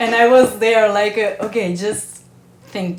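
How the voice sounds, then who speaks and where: A woman's fairly high voice at a very slow pace, with noticeable background noise. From Italy. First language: Italian. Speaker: actress. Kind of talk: podcast interview answer.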